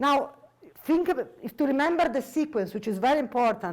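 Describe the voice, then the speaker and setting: With lively intonation, this woman moves along at a fairly quick pace. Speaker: mathematics professor. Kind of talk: lecture. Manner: fast.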